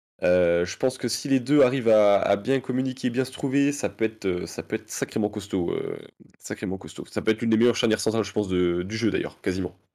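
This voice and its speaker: A man talks at a very fast pace in a medium pitch and a dark, mellow tone, with ordinary pitch variation on a very clean recording with a silent background. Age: 20s. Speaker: nurse and fantasy football card game player. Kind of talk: casual interview.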